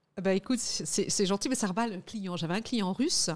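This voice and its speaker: Heard on a very clean recording with a silent background, a woman with an ordinary speaking voice talks at a medium pitch with lively intonation. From Guadeloupe. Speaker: lawyer and lobbyist. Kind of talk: interview.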